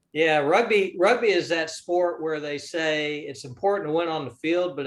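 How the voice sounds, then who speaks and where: A man with a Southern US accent talks at a fairly quick pace in a fairly high pitch. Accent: Southern US, mild. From US South, North Florida. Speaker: business investor. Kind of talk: interview.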